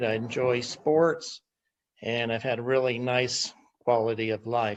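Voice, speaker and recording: At a very slow pace, a man is talking. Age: 60s. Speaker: testimonial giver. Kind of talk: testimony. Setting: video call.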